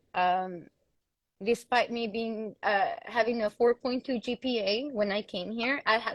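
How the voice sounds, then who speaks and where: A woman talks with a strong Mexican accent and ordinary pitch variation. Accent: thick Mexican Spanish. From Mexico. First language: Spanish. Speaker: panel guest. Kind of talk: casual chat.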